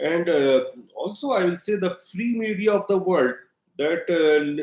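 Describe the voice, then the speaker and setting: A man's high voice with an Indian accent, ordinary pitch variation and a fairly slow pace. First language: Hindi. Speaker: political commentator. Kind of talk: opinion monologue to camera. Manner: halting, many fillers; emphatic.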